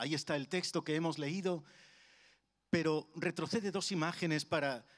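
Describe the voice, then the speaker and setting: Over a quiet background, a man talks at a moderate pace. His voice sits at a fairly high pitch. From Spain, Madrid (Carabanchel); Madrid, Spain. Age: 50s. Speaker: preacher. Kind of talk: sermon. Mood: warm, humorous, engaging. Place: church. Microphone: handheld.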